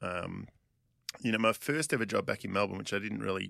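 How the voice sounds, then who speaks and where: A man's fairly low voice with a bright, sharp tone, in a very clean recording with a silent background. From Australia. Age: 40s. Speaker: physical therapist. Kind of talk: casual interview chat.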